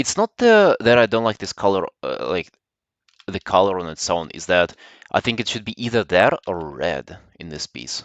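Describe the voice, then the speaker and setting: Speaking at a moderate pace with a Slavic accent, a man shows big swings in loudness. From Russia. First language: Russian. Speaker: artist streamer. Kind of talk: casual livestream chat while drawing. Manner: halting, with many fillers.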